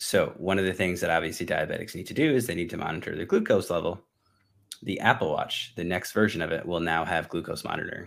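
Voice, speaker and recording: A man speaks at a very fast pace. The recording is very clean, with a silent background. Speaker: podcast co-host and fitness trainer. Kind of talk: casual chat. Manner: monotone.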